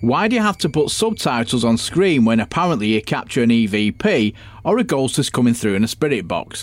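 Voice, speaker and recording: A man with a Manchester accent talks at a moderate pace. His pitch swings very widely. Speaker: podcast host and ghost hunter. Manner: exasperated, swearing and mocking, with sarcastic put-on voices.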